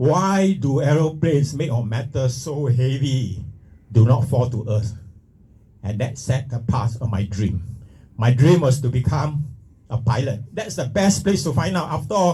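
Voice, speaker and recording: A man's dark, mellow, somewhat breathy voice moves at a fairly slow pace, medium in pitch with lively intonation. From Singapore. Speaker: retired pilot and speaker. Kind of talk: motivational talk. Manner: halting.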